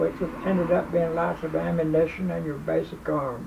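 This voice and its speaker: Over noticeable background noise, a man talks at a moderate pace, his fairly high pitch swinging very widely. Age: 90s. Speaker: war veteran. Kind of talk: storytelling. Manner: halting.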